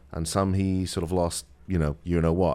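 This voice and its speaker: In a very clean recording with a silent background, a man with a British accent speaks in a very deep, low voice. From United Kingdom. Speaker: attorney. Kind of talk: radio interview. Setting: studio.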